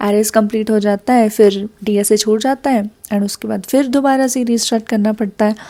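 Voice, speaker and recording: A soft-spoken woman with a fairly high pitch. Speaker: Java developer and study vlogger. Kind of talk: casual study vlog with Hindi-English code-switching. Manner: soft-spoken, quiet.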